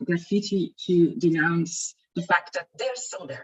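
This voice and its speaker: A woman with a medium pitch sounds somewhat breathy. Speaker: equality body representative. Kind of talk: conference presentation.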